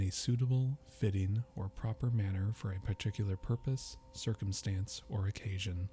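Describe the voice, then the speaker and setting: A man speaks at a fairly low pitch with a dark, mellow, somewhat breathy tone. His pace is fairly slow, with ordinary pitch variation. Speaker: ASMR dictionary reader.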